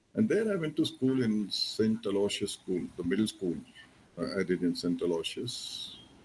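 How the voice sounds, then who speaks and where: A man with a Marathi accent talks at a moderate pace. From India, Bangalore. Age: 70s. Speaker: retired navy admiral. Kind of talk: interview.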